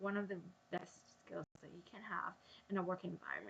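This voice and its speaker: A woman with a medium pitch and vocal fry speaks at a fairly quick pace. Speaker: vlogger. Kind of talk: casual vlog monologue. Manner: hesitant, many ums; halting with false starts.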